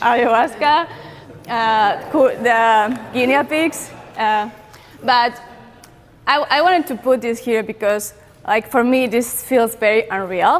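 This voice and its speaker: The speaker has a Spanish accent and a fairly slow pace with long, frequent pauses. Pitch variation is ordinary. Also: woman. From Peru. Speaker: content creator. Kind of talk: talk to audience.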